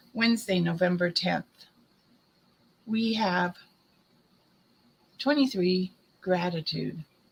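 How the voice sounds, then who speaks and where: A somewhat breathy woman speaks at a very slow pace with long, frequent pauses, using a medium pitch with ordinary pitch variation. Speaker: psychic medium doing card readings. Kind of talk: oracle card reading. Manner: casual, conversational.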